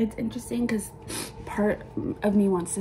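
A woman speaks over light background noise. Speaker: tarot reader. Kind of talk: casual spiritual reading talk. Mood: calm, reflective. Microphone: phone near.

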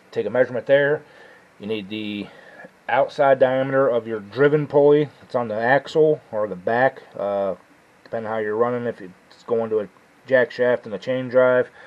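A man talks at a moderate pace with ordinary pitch variation. His loudness swings widely. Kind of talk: tutorial. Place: garage. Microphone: camera far.

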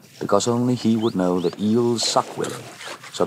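Over noticeable background noise, a man talks at a moderate pace, his pitch varying in an ordinary way. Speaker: documentary narrator. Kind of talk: TV documentary narration.

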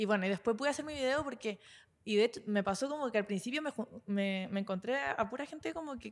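A woman's lively intonation over a quiet background. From southern Chile, Puerto Montt area; Chile. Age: 20s. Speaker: internet personality; podcast co-host. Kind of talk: casual chat. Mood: playful storytelling, gossip. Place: studio. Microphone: handheld.

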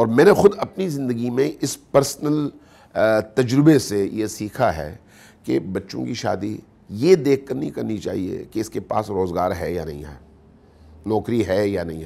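A man speaks at a fairly slow pace with a fairly low pitch, a dark, mellow tone and vocal fry. His pitch swings very widely, and so does his loudness. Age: 50s. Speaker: Shia religious scholar; guest. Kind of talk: interview. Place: studio.

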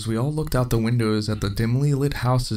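What you hear is plain reading aloud.

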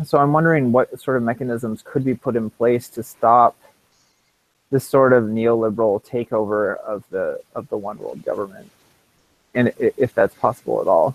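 With long, frequent pauses, a man speaks at a moderate pace in a dry sound with no echo. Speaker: seminar participant. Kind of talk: audience question. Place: home room. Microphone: earbuds.

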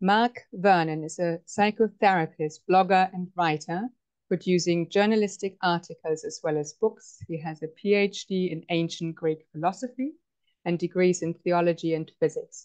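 A woman in a normal speaking voice, fairly low-pitched, with fairly even intonation, a moderate pace and a quiet background. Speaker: event host. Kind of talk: introduction of a speaker. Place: home room. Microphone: earbuds.

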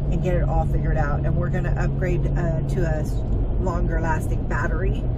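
Loud background noise behind a woman speaking at a fairly quick pace. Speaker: vlogger. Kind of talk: casual vlog chat. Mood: cheerful, chatty. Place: car. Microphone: phone near.

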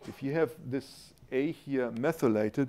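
A man's dark, mellow voice with a German accent, at a very slow pace. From Germany. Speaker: university professor, molecular biochemist. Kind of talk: scientific lecture with Q&A. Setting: lecture hall with audience. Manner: informal, humorous. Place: hall.

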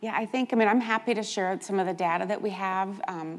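The woman's speech rushes along very quickly. Intonation holds fairly level throughout. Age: 60s. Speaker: nonprofit healthcare CEO; panelist. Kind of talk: conference panel talk. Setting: stage with audience. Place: hall. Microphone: lapel.

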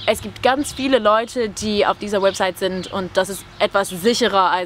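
A woman speaks in a plain, everyday voice at a moderate pace with ordinary pitch variation, the sound dry with no echo and light background noise behind her. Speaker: YouTuber and language tutor. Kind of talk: casual chat. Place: garden.

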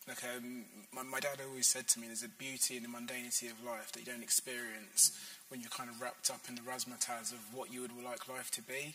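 Speaking at a very fast pace with hardly any pauses, a man uses lively intonation and big swings in loudness. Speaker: sociology professor. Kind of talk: panel discussion. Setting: stage with audience. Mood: warm, reflective. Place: hall.

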